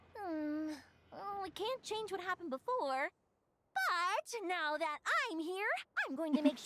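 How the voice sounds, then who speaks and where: A woman uses a put-on character voice at an extremely high pitch, upbeat and enthusiastic in tone, moving at a moderate pace with long, frequent pauses in a dry, close sound with no echo. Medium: video game. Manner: bright, upbeat, enthusiastic.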